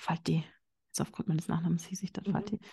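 Against a quiet background, a woman speaks at a medium pitch with a slight Bavarian accent. Her intonation is fairly even. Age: 30s. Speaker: business psychologist. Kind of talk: interview.

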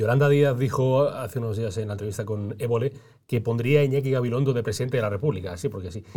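At a very fast pace, a man speaks at a medium pitch with ordinary pitch variation, his tone dark, mellow and somewhat breathy, in a very clean recording with a silent background. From Granada, Spain. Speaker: podcast interviewer. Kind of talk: casual interview.

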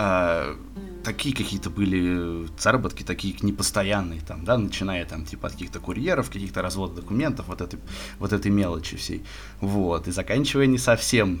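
Audible room echo surrounds a man with a fairly low pitch. He speaks at a moderate pace with ordinary pitch variation. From Moscow, Russia. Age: 20s. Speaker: podcast guest, sports bettor. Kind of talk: casual chat. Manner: halting, many filler words.

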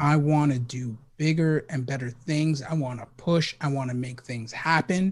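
This man's voice is fairly high-pitched and somewhat breathy. His pace is moderate, with ordinary pitch variation. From New York, the Bronx (Puerto Rican family). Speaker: cybersecurity researcher. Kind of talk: casual interview chat. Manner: energetic.

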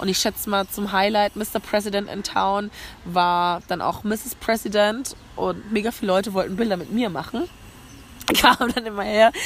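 Noticeable background noise surrounds a woman's voice. She has an animated tone and a medium pitch. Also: moderate pace. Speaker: travel podcaster. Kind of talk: casual monologue. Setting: outdoors on a café rooftop terrace.

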